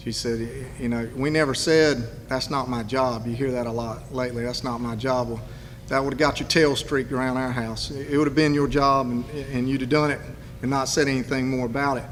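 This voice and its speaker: A man with an eastern North Carolina accent speaks at a medium pitch in a flat monotone and a fairly quick pace, with noticeable background noise and audible room echo. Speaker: political candidate. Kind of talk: campaign speech. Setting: public event with audience.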